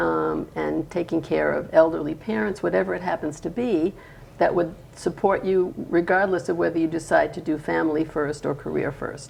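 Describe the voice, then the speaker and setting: A woman speaks at a moderate pace. Background noise is noticeable throughout. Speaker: panelist. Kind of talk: panel discussion.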